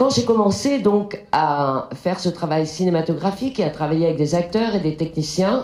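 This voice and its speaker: A woman speaks very slowly with lively intonation, and the room echo is audible. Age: 60s. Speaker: film director. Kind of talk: lecture. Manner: halting.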